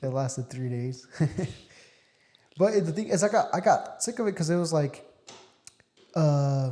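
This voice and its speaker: Using a dark, mellow tone, a man with a high voice speaks at a moderate pace with lively intonation and long, frequent pauses. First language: Spanish. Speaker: podcast host. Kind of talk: casual chat.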